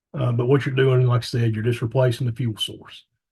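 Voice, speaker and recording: A man's medium-pitched, somewhat breathy voice, dark and mellow in tone, with monotone, flat intonation at a very fast pace. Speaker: electric co-op staff presenter. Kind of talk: webinar presentation.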